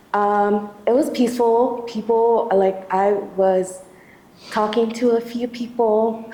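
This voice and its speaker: A woman's shaky, fairly high voice with ordinary pitch variation, audible room echo, and noticeable background noise. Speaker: activist testifying at a community tribunal. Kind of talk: testimony. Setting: church hall event with audience. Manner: shaky, halting with many fillers.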